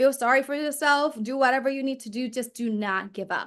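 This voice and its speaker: A woman with a Vietnamese accent at a moderate pace with ordinary pitch variation, against a quiet background. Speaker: performance coach and entrepreneur. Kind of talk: interview.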